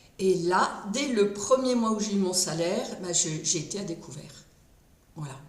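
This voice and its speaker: The speech is fairly slow with lively intonation, with audible room echo and noticeable background noise. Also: woman, medium pitch for a woman. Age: 60s. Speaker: retired speech therapist. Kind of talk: testimony. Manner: hesitant.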